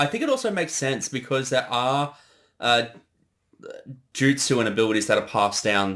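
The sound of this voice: This man talks at a fairly slow pace with a fairly bright tone, leaving long, frequent pauses.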